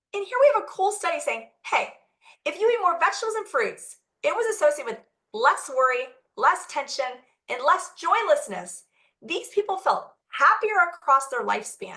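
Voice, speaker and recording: A woman speaks in a raised, projected voice at a moderate pace, her tone animated, bright and sharp. Her pitch is extremely high and swings very widely. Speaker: physician. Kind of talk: lecture.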